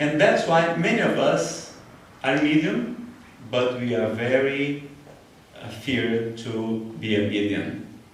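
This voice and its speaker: Against noticeable background noise and audible room echo, a man with a northeastern Brazilian accent talks very slowly at a medium pitch with ordinary pitch variation. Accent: Brazilian (Cearense) accent in English. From Brazil, Ceará. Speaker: spiritualist lecturer. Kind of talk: lecture. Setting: spiritualist church. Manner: halting, many fillers and repetitions.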